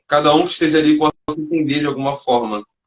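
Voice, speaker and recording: A man speaks with a Rio de Janeiro accent. His pace is moderate. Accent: Carioca Brazilian Portuguese. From Rio de Janeiro, Brazil. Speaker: live stream host, street evangelist. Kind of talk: casual chat. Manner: halting; heavy slang.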